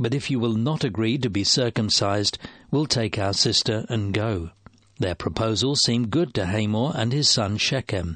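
Over a quiet background, a man talks at a moderate pace with ordinary pitch variation. His medium-pitched voice is an unremarkable speaking voice. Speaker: Bible reader. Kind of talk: reading aloud.

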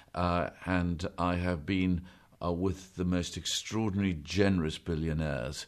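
With a very deep, low pitch and very even loudness, a man speaks fairly slowly and with fairly even intonation over a quiet background. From South Africa. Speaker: banker and church leader. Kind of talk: interview.

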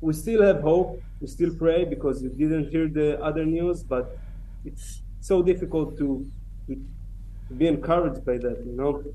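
A man speaks with an Israeli accent. His pace is moderate. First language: Hebrew. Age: 30s. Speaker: October 7 survivor, kibbutz security team member. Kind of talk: testimony.

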